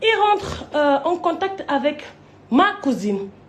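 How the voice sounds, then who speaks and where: Her pitch runs high. The woman's tone is animated. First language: not French (speaking French). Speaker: online personality. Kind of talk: storytelling rant to camera.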